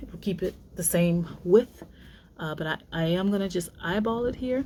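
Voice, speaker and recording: At a moderate pace, a woman talks in a Southern US accent. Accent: Southern twang. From US South, Louisiana. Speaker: sewing teacher. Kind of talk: tutorial. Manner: casual, with many fillers.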